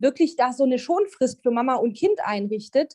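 Lively in intonation and high in pitch, a woman speaks at a moderate pace in a dry, close sound with no echo. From Germany. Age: 30s. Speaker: psychologist. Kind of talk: casual interview chat.

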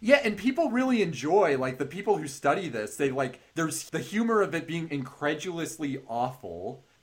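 Hardly pausing, a man with an American accent talks at a moderate pace and fairly high pitch, his voice making very wide pitch swings. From US West Coast, Bay Area (Marin County). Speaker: podcast host. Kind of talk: casual chat.

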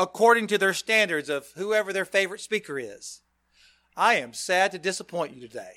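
Raising and projecting his voice, a man speaks at a moderate pace with a high pitch, a bright, sharp tone and lively intonation. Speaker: preacher. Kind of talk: sermon. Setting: church.

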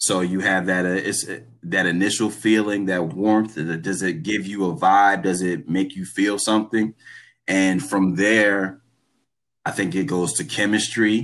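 In an American accent, a man with a fairly low pitch and an unremarkable speaking voice talks at a fairly slow pace with ordinary pitch variation, recorded very cleanly against a silent background. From Trenton, New Jersey. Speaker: music label executive. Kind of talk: casual chat.

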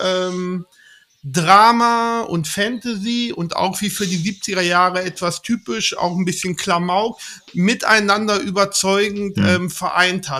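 On a very clean recording with a silent background, a man talks at a very slow pace in a high pitch, his tone bright and sharp and his pitch variation ordinary. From Lower Saxony, Germany. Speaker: film enthusiast guest. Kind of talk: casual chat. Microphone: too quiet.

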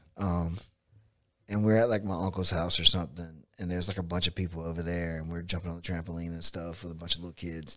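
A man's very deep, low voice, very fast and monotone with flat intonation, marked by big swings in loudness. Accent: American. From US South, south Georgia (Bainbridge). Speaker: jiu-jitsu coach and gym owner. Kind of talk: casual chat. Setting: studio.

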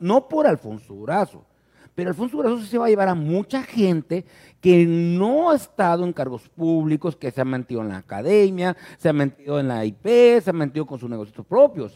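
A dark, mellow tone moves at a fairly quick pace through very wide pitch swings, in a dry, close sound with no echo. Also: man. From Ciudad Obregón, Sonora, Mexico. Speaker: podcast host, journalist. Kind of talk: casual chat.

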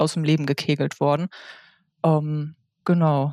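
A woman is heard in a very clean recording with a silent background. The sound is dry and close, with no echo. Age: 30s. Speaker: podcast guest sharing illness experience. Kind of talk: interview.

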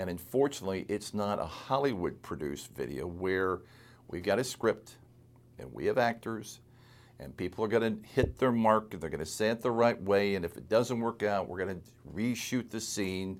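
In a very clean recording with a silent background, an unremarkable speaking voice talks at a moderate pace. Its pitch varies in an ordinary way while its loudness swings widely. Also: man, fairly low pitch for a man. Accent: American. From US Midwest (Quincy, Illinois). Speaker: estate lawyer podcast host. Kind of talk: solo podcast monologue. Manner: conversational, folksy with filler words.

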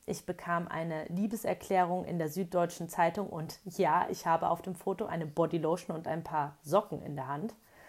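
A woman talks in an ordinary speaking voice at a moderate pace. Her pitch is fairly low, with ordinary variation. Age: 30s. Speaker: blogger. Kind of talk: reading aloud. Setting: in a camper van.

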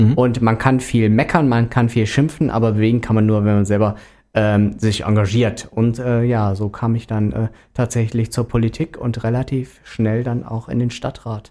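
A man with a Rhineland accent, medium-pitched with a dark, mellow tone, moderate pace and fairly even intonation, on a very clean recording with a silent background. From Rhineland, Germany. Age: 30s. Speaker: sports volunteer. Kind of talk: casual interview. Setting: radio studio.

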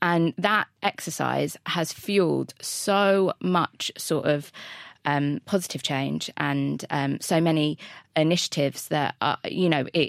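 A woman speaks at a very deep, low pitch with vocal fry and ordinary pitch variation. The sound is dry and close, with no echo. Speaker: talent head at agency. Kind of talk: casual chat.

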